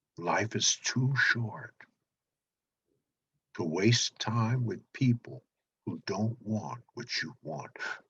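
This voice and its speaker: Using a medium pitch with ordinary pitch variation and vocal fry, a man speaks at a very slow pace with long, frequent pauses. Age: 70s. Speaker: motivational speaker. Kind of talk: motivational talk.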